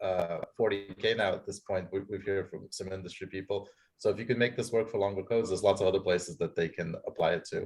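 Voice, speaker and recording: Talking at a very fast pace, a man leaves hardly any pauses. His voice is somewhat breathy, with fairly even intonation. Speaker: seminar audience member, researcher. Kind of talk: academic Q&A discussion. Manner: mumbling.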